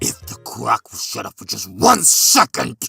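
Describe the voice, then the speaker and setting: Over faint background music, a man performs a put-on character voice. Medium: solo performance. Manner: menacing, condescending.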